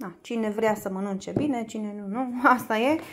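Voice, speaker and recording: At a moderate pace, a woman speaks with ordinary pitch variation. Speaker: home vlogger. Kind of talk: casual vlog chat. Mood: cheerful, laughs. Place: home room. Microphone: phone near.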